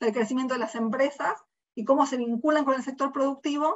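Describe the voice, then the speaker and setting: A woman speaks at a high pitch and a fairly quick pace. Her pitch variation is ordinary. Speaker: researcher. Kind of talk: research seminar presentation. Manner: fast.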